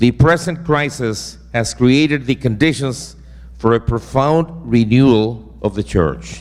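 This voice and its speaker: A man talks at a fairly slow pace. He has a Spanish accent. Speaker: seminary professor. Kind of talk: lecture. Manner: reading from a prepared text.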